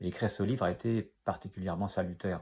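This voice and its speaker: A man is speaking. His pace is fairly quick. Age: 60s. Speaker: author, retired food industry engineer. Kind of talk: author interview about his book. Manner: hesitant, many filler sounds.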